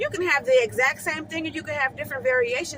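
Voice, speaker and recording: Amid noticeable background noise, a woman projects a raised, high-pitched voice with ordinary pitch variation. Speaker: hair stylist. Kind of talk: casual vlog tips. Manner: fast.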